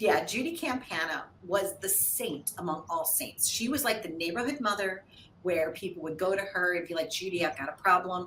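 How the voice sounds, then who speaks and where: A woman's animated voice with an American accent and lively intonation, at a moderate pace, over noticeable background noise. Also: medium pitch for a woman. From US Midwest, St. Louis, Missouri. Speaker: TV show host and producer. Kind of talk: interview.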